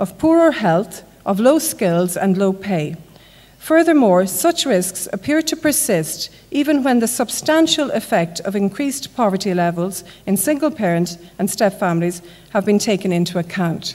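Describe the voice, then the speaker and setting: An Irish accent with very wide pitch swings at a moderate pace, over noticeable background noise. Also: woman. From Ireland. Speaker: conference speaker. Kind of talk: lecture.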